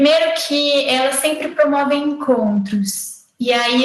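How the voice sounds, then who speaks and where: Showing ordinary pitch variation, a woman talks at a very slow pace. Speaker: occupational therapy lecturer. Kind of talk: lecture. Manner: halting.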